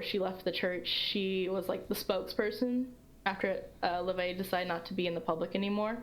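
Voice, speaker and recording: A woman at medium pitch and a fairly quick pace, with audible room echo. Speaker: history student presenting research. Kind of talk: Q&A after a presentation. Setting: livestream.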